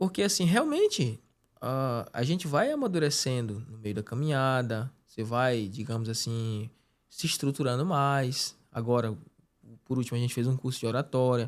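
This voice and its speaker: This man has an unremarkable speaking voice with medium pitch and ordinary pitch variation, talking at a moderate pace in a very clean recording with a silent background. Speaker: podcast host and preacher. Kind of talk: casual chat.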